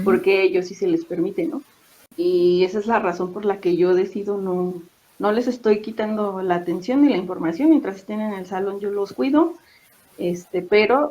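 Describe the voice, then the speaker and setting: Speaking in a normal speaking voice, a woman keeps a moderate pace at a medium pitch. Her intonation is lively. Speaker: secondary school teacher. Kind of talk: interview answer, casual talk about teaching experiences.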